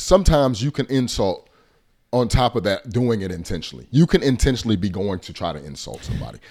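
A man at a medium pitch with vocal fry, very wide pitch swings and a very fast pace. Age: 30s. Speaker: podcast co-host. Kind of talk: casual chat.

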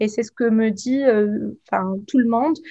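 The woman's voice has a dark, mellow tone and a fairly high pitch, with ordinary pitch variation. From Tunisia. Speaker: pharmacist and cosmetics entrepreneur. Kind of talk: interview. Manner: halting.

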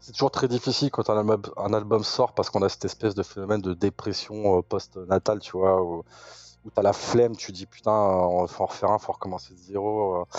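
A man talks quickly enough, at a fairly low pitch, with fairly even intonation and big swings in loudness. He has an ordinary speaking voice. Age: 40s. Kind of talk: interview.

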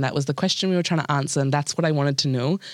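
A woman talks in a very deep, low pitch. The recording is very clean, with a silent background. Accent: New Zealand. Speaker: podcast guest. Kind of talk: casual chat. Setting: studio.

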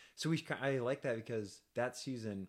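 In a very clean recording with a silent background, a man speaks in an ordinary speaking voice at a fairly quick pace, with ordinary pitch variation. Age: 30s. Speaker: drag podcast co-host. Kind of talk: casual chat. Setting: studio.

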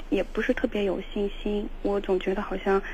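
A woman at medium pitch, fairly quick pace and ordinary pitch variation, with noticeable background noise. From Shaanxi. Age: 20s. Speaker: caller seeking relationship advice. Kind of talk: call-in advice conversation. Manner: hesitant, with fillers.

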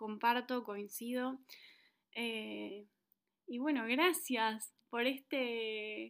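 Speaking with a Rioplatense accent, a woman uses a fairly high pitch and fairly even intonation. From Argentina. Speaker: podcast host. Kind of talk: podcast interview.

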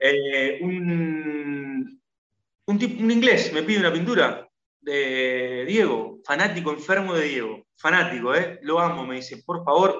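A man's voice with lively intonation and a bright, sharp tone. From Argentina. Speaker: former footballer turned painter. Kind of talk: interview. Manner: halting.

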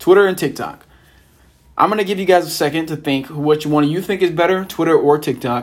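A man speaks at a fairly quick pace in a plain, everyday voice, his pitch fairly high with ordinary variation. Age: 20s. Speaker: podcast host and law student. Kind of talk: casual solo monologue. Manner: casual, filler-heavy.

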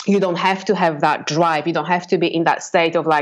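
In a Polish accent, a woman talks at a fairly quick pace. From Poland. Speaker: business owner and coach. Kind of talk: interview.

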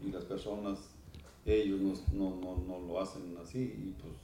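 Ordinary pitch variation comes at a fairly slow pace. Room echo is audible. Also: man. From Mexico, Jalisco (small town south of Guadalajara). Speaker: charreria judge. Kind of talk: casual interview chat.

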